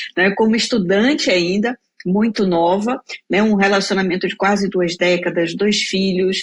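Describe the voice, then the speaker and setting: At a moderate pace, a woman speaks in an ordinary speaking voice. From Bahia, Brazil. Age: 40s. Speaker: career mentor, speaker. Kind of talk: interview testimony.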